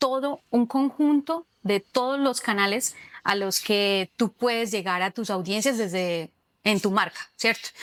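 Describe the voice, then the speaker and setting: A woman with a Cúcuta accent speaks at a fairly slow pace and a fairly high pitch, with ordinary pitch variation. The recording is very clean with a silent background and a dry, close sound with no echo. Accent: Cúcuta accent, noticeable. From Colombia, Cúcuta. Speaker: social communicator, digital marketer. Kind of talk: interview. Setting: cultural center.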